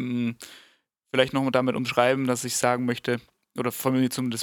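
Recorded very cleanly against a silent background, a man speaks at a moderate pace and medium pitch, the sound dry and close with no echo. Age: 20s. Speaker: podcast co-host, musician and software developer. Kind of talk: casual chat. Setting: studio. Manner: halting.

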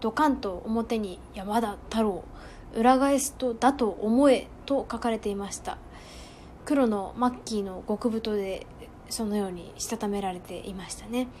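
A woman with an unremarkable speaking voice, fairly high in pitch with ordinary pitch variation, at a fairly slow pace with big swings in loudness. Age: 20s. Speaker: podcaster. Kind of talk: solo monologue. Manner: formal.

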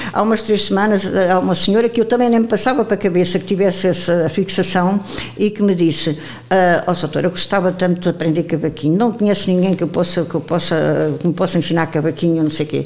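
A woman speaks at a very fast pace with very even loudness. Noticeable background noise runs under her voice. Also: fairly low pitch for a woman, ordinary pitch variation. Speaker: retired teacher, association president. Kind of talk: interview. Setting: association headquarters.

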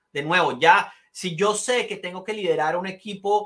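At a fairly slow pace, a man with a high pitch uses a raised, projected voice. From Colombia. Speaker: leadership trainer. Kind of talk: interview.

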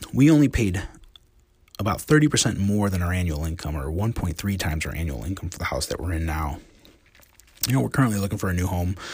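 Amid noticeable background noise, a man with an American accent speaks at a very fast pace and a very deep, low pitch. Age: 40s. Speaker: physical therapist and blogger. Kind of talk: casual monologue reading and commenting on book quotes. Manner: conversational with frequent fillers.

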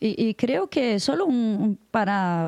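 With a Brazilian accent, a woman speaks with lively intonation in a dry, close sound with no echo against a quiet background. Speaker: international news editor. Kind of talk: casual chat.

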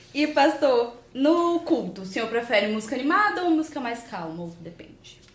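Moving at a moderate pace with hardly any pauses, a woman's high voice takes very wide pitch swings over noticeable background noise. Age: young. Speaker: youth podcast host. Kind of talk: interview questions.

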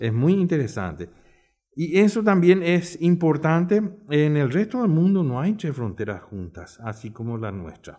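A man's fairly high voice at a fairly slow pace, with very wide pitch swings and big swings in loudness. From Paraguay, Asunción. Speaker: tourism industry veteran. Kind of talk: round-table discussion.

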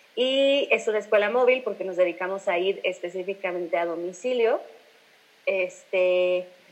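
With a central Mexican accent, a woman talks at a fairly slow pace with ordinary pitch variation. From Mexico, Irapuato. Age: 20s. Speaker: singer. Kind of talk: casual interview.

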